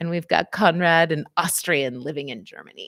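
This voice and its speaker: A woman with an American accent speaks in an animated tone at a fairly low pitch. The sound is dry and close with no echo, on a very clean recording with a silent background. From US West Coast, San Francisco area. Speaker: physical therapist and psychotherapist. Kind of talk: live stream talk with chat. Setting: livestream.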